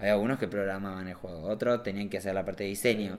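The speech comes very fast with fairly even intonation, on a very clean recording with a silent background. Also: man. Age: 30s. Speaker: visual artist and motion designer. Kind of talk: casual chat.

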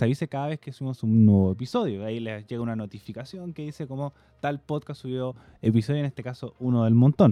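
With a Chilean accent, a man talks at a fairly quick pace in a dark, mellow tone. The sound is dry and close with no echo, over a quiet background. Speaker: podcast co-host. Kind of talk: casual chat.

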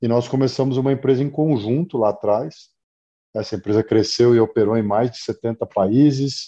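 The voice has a dark, mellow tone and moves at a moderate pace, with ordinary pitch variation and big swings in loudness. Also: man, medium pitch for a man. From Brazil, Mato Grosso (Cuiabá). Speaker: agribusiness executive and startup mentor. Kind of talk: interview.

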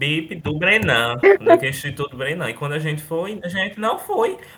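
A man with a fairly high pitch talks at a moderate pace while noticeable background noise runs underneath. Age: 20s. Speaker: former student, university student. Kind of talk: casual chat.

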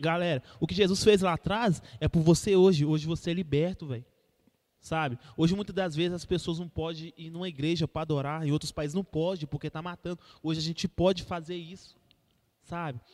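A man's high-pitched voice with fairly even intonation sounds dry and close, with no echo. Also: fairly quick pace. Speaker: church youth podcast host. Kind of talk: casual chat with preaching.

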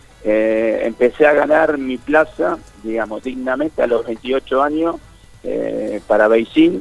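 At a very slow pace, a man speaks with a medium pitch. Noticeable background noise can be heard. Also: ordinary pitch variation. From Argentina, San Pedro (Buenos Aires province). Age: 30s. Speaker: Olympic sailor. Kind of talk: interview.

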